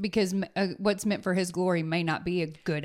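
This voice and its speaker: This woman's pitch sits fairly low. She keeps to a moderate pace. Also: very clean recording, silent background. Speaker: podcast co-host. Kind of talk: casual faith conversation. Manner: animated.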